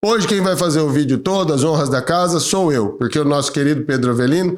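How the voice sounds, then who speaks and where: A man's plain, everyday voice, pitched fairly high. His pitch varies an ordinary amount. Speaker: lawyer, channel host. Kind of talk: informative video talk to camera.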